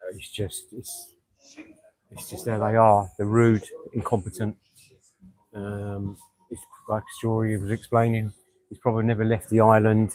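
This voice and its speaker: Monotone, flat intonation in a London accent, with long, frequent pauses and big swings in loudness. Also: man, fairly low pitch for a man. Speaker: expat friend. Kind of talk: casual chat. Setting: outdoors. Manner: fast.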